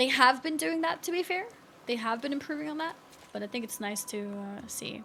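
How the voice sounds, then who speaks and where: A woman with an American accent talks at a very fast pace in a high pitch with lively intonation, over noticeable background noise. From Sweden. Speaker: video game streamer. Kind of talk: live gaming stream commentary. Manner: casual, chatty with fillers.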